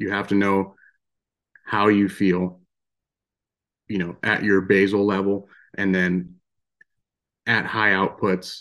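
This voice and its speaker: Against a quiet background, a man with an American accent speaks in a fairly low pitch. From Western Pennsylvania. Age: 20s. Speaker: outdoorsman and diabetes advocate. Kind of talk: interview.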